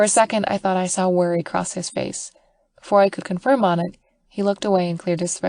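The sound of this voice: The speaker uses an unforced reading voice with fairly even intonation. The background is quiet.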